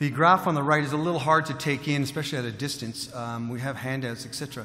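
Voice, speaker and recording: With a Canadian accent, a man talks at a very fast pace in a fairly high pitch and fairly even intonation, with audible room echo. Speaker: mining company executive. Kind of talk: conference presentation. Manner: halting, many fillers and repeats.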